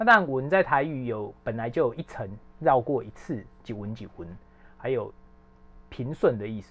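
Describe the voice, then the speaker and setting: This man has a medium pitch, lively intonation, and a normal speaking voice. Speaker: arts editor. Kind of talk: casual chat.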